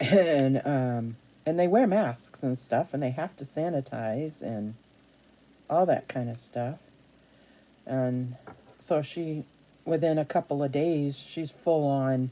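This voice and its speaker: Very slow and broken by long, frequent pauses, a woman speaks at a very deep, low pitch with a dark, mellow tone. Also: ordinary pitch variation. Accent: slight New England. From New Hampshire. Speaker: craft vlogger. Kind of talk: casual chat. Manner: chatty.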